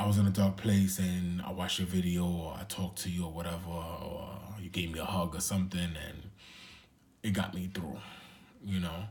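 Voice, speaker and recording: This man has a New York accent and a very deep, low pitch, with a somewhat breathy voice. He talks at a moderate pace with fairly even intonation, and audible room echo surrounds him. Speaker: vlogger. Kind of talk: casual vlog monologue. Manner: halting.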